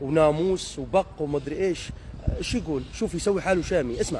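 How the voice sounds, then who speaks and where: This is a man speaking. His pace is fairly slow. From Deir ez-Zor, eastern Syria. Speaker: social media commentator. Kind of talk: comedic rant monologue. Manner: animated, mimicking regional dialects.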